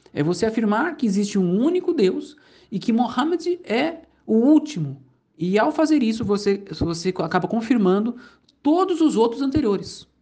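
A man with a Brazilian accent and an extremely high pitch for a man speaks at a moderate pace with very wide pitch swings. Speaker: Islam teacher, convert. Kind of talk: lecture. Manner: halting.

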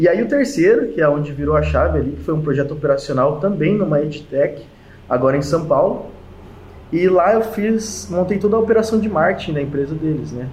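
Fairly quick and fairly high-pitched, a man speaks with lively intonation amid audible room echo and noticeable background noise. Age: 20s. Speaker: mechanical engineer and e-commerce entrepreneur. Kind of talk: interview.

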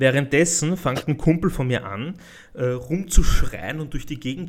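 A man with an Austrian accent, fairly high-pitched, at a moderate pace with ordinary pitch variation. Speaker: podcast host. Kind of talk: casual chat.

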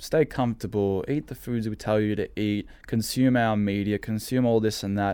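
A man's plain, everyday voice at a fairly low pitch, with fairly even intonation, a moderate pace and hardly any pauses, in a very clean recording with a silent background. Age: 20s. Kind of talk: casual chat.

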